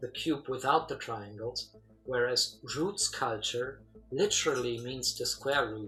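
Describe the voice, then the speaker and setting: Music plays in the background. The speaker moves at a fairly slow pace. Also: man, medium pitch for a man, ordinary pitch variation. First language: German. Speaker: sacred geometry thinker. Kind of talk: casual philosophical discussion. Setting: call.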